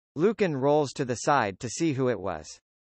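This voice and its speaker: Growling at a moderate pace, a man speaks at medium pitch with lively intonation. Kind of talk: script narration. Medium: audio drama.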